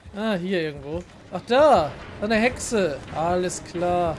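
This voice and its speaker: A man's high-pitched voice. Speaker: gaming youtuber. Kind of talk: let's play commentary. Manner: casual, chatty.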